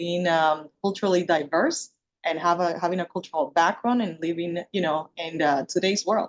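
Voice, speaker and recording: Speaking with a Spanish accent, a woman keeps a fairly low pitch and fairly even intonation, with hardly any pauses. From Dominican Republic. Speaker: panel speaker. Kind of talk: panel discussion.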